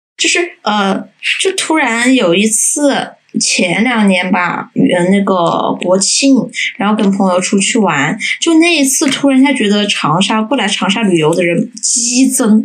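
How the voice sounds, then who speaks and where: She has an ordinary speaking voice with a fairly high pitch for a woman and lively intonation. This woman speaks at a fairly slow pace, and her loudness stays very even. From Changsha, Hunan. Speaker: guest, local resident. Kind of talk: casual chat.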